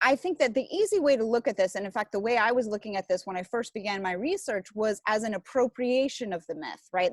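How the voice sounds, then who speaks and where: Her fairly high voice racing at a very fast pace, a woman speaks with a dry, close sound and no echo. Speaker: zombie studies scholar. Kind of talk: academic interview. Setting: video call from outdoor porch. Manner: lowered voice.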